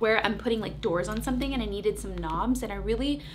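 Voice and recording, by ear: A woman with ordinary pitch variation over clear background noise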